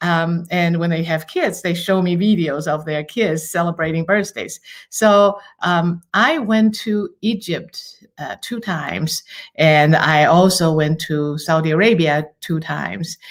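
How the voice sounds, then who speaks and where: A woman's fairly low voice with a Chinese accent, at a fairly slow pace with ordinary pitch variation, in a very clean recording with a silent background. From Taiwan. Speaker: university international student advisor. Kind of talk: podcast interview.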